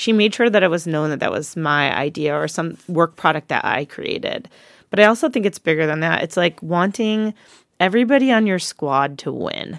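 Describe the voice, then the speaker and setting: A woman with a normal speaking voice, fairly low pitch and lively intonation talks at a moderate pace, recorded very cleanly against a silent background with a dry, close sound and no echo. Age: 40s. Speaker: podcast co-host, fleet manager, army veteran. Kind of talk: casual chat.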